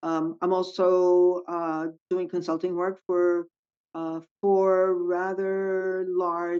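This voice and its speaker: This woman talks at a fairly low pitch in a monotone, flat delivery. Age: 70s. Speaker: retired government worker and consultant. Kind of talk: roundtable podcast discussion.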